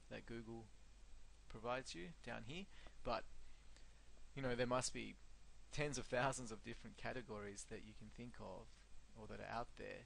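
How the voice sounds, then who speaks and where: A man at a moderate pace with audible room echo. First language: not English. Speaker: search engine marketing consultant. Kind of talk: tutorial. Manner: casual with frequent fillers.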